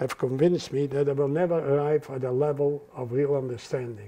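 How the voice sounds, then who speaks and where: A man speaks with a Dutch accent. His intonation stays fairly even. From Netherlands. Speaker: Holocaust survivor. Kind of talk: interview answer. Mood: earnest, reflective. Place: home room. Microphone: lapel.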